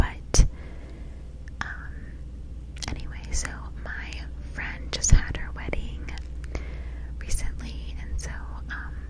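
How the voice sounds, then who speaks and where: A woman is speaking. There is loud background noise. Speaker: ASMR creator. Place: home room. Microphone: studio mic.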